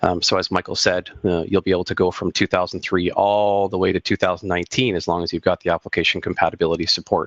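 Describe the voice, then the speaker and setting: A man talks very fast in a very deep, low voice with monotone, flat intonation. The sound is dry and close, with no echo. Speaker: software company presenter. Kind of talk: webinar product demo.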